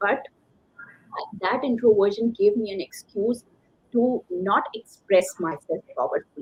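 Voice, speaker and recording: The speaker is soft-spoken, going at a fairly slow pace with long, frequent pauses and ordinary pitch variation, in a dry, close sound with no echo. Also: woman, medium pitch for a woman. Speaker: career coach. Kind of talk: interview.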